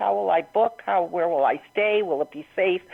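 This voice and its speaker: This woman's voice makes very wide pitch swings. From New England. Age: 60s. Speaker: author and interior designer. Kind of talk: radio interview. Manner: halting.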